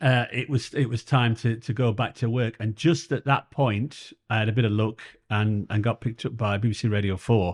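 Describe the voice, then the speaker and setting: In a Yorkshire accent, a man talks at a fairly quick pace and medium pitch against a quiet background. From northern England, Sheffield. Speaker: comedian and former police officer. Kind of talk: interview. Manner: halting.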